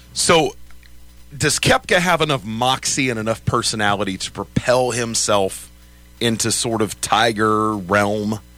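A man talks at a fairly slow pace, his pitch medium with ordinary variation. Music plays in the background. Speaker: sports radio host. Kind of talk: casual chat. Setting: studio.

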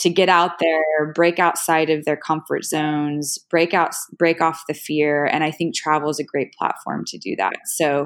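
A woman speaks with an American accent, her pitch very deep and low and her intonation monotone and flat. She keeps a moderate pace, and the recording is very clean with a silent background. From Oklahoma, small town. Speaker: app founder, finance professional. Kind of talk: interview.

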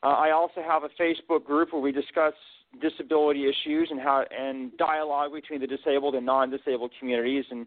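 A man in an unremarkable speaking voice, medium in pitch, at a fairly quick pace with fairly even intonation. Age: 40s. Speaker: author and motivational speaker. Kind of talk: interview.

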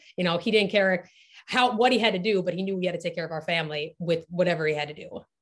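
Talking at a very fast pace, a woman sounds somewhat breathy. Her pitch is fairly low, with ordinary variation. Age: 20s. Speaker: marketing executive. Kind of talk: casual chat.

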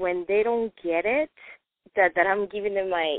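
The woman talks in a non-native accent. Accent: foreign-accented English. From non-English-speaking country, moved to US at 14. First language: non-English. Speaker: study group participant. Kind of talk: group discussion on conference call. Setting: phone call.

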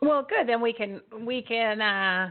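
A woman speaks at a fairly high pitch with a slight New Jersey accent. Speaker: podcast host. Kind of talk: interview. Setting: live show.

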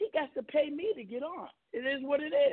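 An American-accented male voice, its pitch varying in an ordinary way. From Venezuela, raised partly in New York area. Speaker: radio show host. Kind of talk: casual talk radio interview. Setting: internet radio show. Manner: animated.

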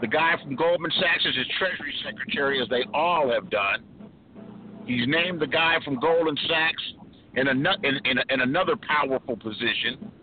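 Noticeable background noise sits behind a man whose fairly high pitch shows ordinary variation, his loudness very even throughout. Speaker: caller. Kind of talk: call-in discussion. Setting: in a car. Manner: laid-back.

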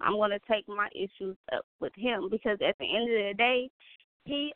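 A woman speaks in an unremarkable speaking voice. Her pitch is fairly high for a woman, with ordinary pitch variation. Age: 20s. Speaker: podcast co-host. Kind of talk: casual chat.

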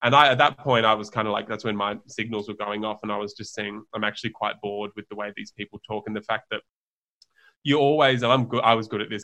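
An Australian-accented man talks at a very fast pace. His pitch is fairly low. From Australia, Sydney. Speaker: herbal brand founder. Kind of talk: casual interview chat. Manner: animated.

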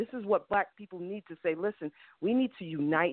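Using a plain, everyday voice, a woman speaks with an American accent at medium pitch. Her pitch variation is ordinary and her pace moderate. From New York. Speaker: caller. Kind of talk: call-in discussion.

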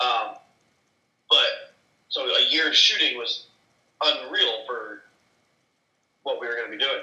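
There is audible room echo as a man speaks with long, frequent pauses. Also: fairly slow pace. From California. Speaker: film crew member. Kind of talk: casual chat. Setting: video call.

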